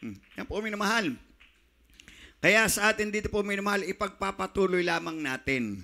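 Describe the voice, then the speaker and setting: A man shouting in a raised, projected voice, high in pitch and bright and sharp in tone, at a fairly quick pace with ordinary pitch variation and long, frequent pauses. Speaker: preacher. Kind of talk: sermon. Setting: church. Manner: fervent, pulpit-style delivery with repeated 'minamahal' and shouted praises. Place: church. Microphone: handheld.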